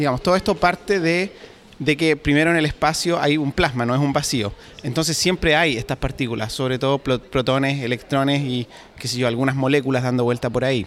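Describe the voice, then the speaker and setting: A man talks in a normal speaking voice at a fairly quick pace, his fairly high pitch showing ordinary pitch variation. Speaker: PhD student. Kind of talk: interview. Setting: conference.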